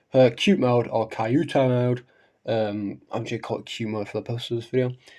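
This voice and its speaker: A man's dark, mellow tone at medium pitch and a fairly quick pace, with big swings in loudness, on a very clean recording with a silent background. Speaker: anime powerscaling youtuber. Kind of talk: casual video commentary. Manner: halting, many fillers.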